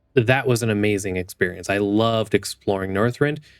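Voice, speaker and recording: A man's fairly low voice over music in the background. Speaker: gaming youtuber. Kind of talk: casual unscripted monologue. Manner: halting, repeats words.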